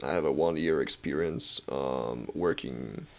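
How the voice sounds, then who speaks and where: A man speaking at a fairly slow pace. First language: not English. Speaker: software developer and student vlogger. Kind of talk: casual tutorial vlog. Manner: halting, many fillers.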